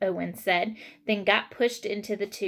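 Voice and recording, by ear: Someone is reading aloud in a natural voice. Ordinary pitch variation runs through it.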